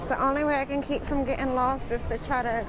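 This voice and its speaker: Crowd noise fills the background. A woman with an American accent speaks at a fairly high pitch. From United States. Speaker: travel vlogger. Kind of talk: casual walking vlog narration. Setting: outdoors.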